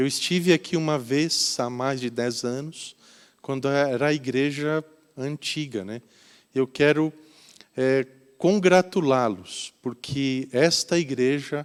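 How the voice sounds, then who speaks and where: A man's very slow speech with a slight Curitiba accent, fairly high in pitch, with ordinary pitch variation. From Brazil, Curitiba. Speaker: volunteer pastor. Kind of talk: sermon. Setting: church.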